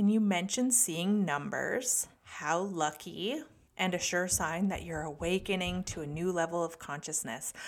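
In a Canadian accent, a woman speaks at a moderate pace in a normal speaking voice, fairly low in pitch with ordinary variation. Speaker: podcast host and developing psychic medium. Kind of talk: casual solo podcast talk.

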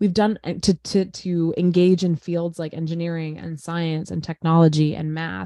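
In a dry, close sound with no echo, a woman speaks at a fairly low pitch in a dark, mellow tone with monotone, flat intonation. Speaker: teacher and podcast co-host. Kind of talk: casual chat.

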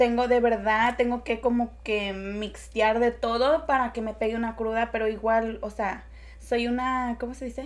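A woman at a moderate pace with a fairly high pitch. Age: 20s. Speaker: podcast guest. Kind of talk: casual chat.

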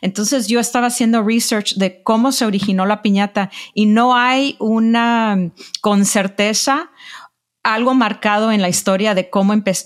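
This is a woman with an ordinary speaking voice, fairly high in pitch. She keeps a moderate pace and fairly even intonation. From Los Angeles, Mexican-American. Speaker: journalist and publisher. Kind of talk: interview. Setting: call.

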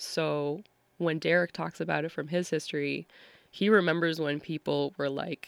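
In a very clean recording with a silent background, a woman with an American accent speaks in a very deep, low pitch with fairly even intonation. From Massachusetts, US. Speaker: dancer and performer. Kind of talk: interview conversation.

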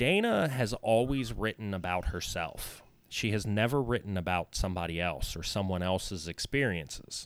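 An ordinary speaking voice moves at a moderate pace with lively intonation and hardly any pauses, in a very clean recording with a silent background. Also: man, fairly low pitch for a man. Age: 30s. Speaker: musician and podcaster. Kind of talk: casual chat.

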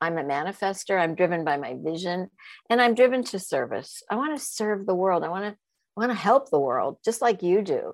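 On a very clean recording with a silent background, a woman speaks at a fairly quick pace and medium pitch, with very wide pitch swings. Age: 70s. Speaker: sexologist and coaching school founder. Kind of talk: casual interview.

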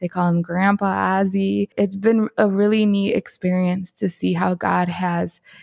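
The speaker has a Chicago accent, and the sound is dry and close with no echo. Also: woman. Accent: Chicago American English. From Chicago, southwest side. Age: 30s. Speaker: photographer and entrepreneur. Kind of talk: testimony.

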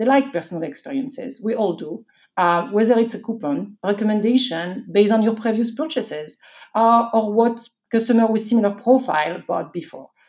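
The intonation is lively, with a French accent. The pace is moderate. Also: woman. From France. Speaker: IT executive. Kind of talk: interview.

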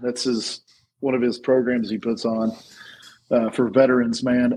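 A man's voice at medium pitch. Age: 40s. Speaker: podcast guest. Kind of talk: casual chat.

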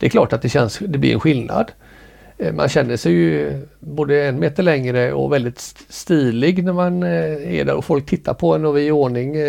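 Speaking at a moderate pace, a man with a medium pitch and a dark, mellow tone makes very wide pitch swings. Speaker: amateur ballroom dancer. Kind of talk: casual interview.

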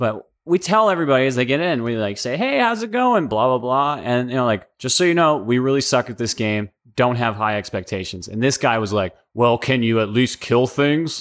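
An ordinary speaking voice from a man at medium pitch, fairly quick with hardly any pauses and lively intonation, on a very clean recording with a silent background. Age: 30s. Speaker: army veteran and history student. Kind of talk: casual chat.

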